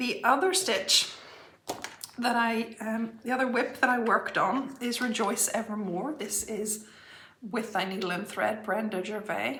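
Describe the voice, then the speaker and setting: Over noticeable background noise and audible room echo, a woman speaks fairly slowly at a fairly high pitch with ordinary pitch variation. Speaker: cross-stitch vlogger. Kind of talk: casual chat.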